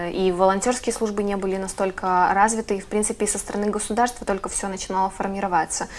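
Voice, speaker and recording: A woman talks at a very fast pace in a monotone, flat intonation. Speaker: TV host. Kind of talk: studio interview. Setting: studio. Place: studio.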